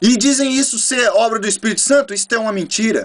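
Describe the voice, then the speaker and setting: The man's delivery is fairly quick. His pitch shifts in an ordinary way. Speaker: preacher. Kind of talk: sermon. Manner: fast.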